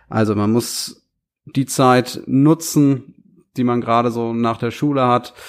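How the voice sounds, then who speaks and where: Recorded very cleanly against a silent background, a man with a medium-pitched voice speaks with fairly even intonation. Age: 30s. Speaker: aesthetic doctor. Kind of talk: podcast Q&A monologue. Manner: hesitant fillers.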